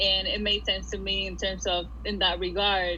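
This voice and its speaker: A woman with a Spanish accent at a moderate pace, with noticeable background noise and audible room echo. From Puerto Rico. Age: 20s. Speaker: art school graduate. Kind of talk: casual interview. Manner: halting, many fillers and repeats.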